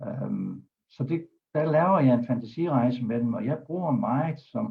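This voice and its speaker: Vocal fry runs through this man's speech. He uses lively intonation at a fairly slow pace. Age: 70s. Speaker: doctor and hypnotherapist. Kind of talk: talk on a web broadcast.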